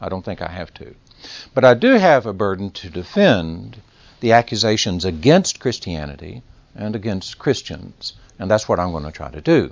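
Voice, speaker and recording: With a Texas accent, a man talks at a moderate pace in a fairly low pitch, his intonation lively and his loudness swinging widely. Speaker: lecturer or adult class teacher. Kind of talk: lecture.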